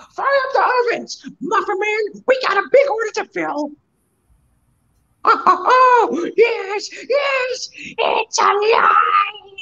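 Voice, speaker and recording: A put-on character voice, shouted at an extremely high pitch and a very slow pace. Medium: game stream.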